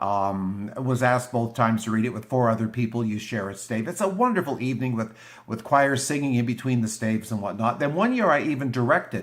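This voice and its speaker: Speaking in a normal speaking voice, a man talks at a fairly quick pace with medium pitch, ordinary pitch variation and hardly any pauses. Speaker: YouTuber reading classic literature. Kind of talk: casual vlog chat before a reading.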